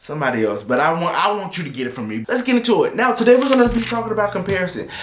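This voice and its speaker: A man shouts loudly at a very fast pace, high-pitched and animated. Noticeable background noise and audible room echo fill the recording. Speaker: motivational video host. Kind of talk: motivational talk to camera. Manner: loud, yelling.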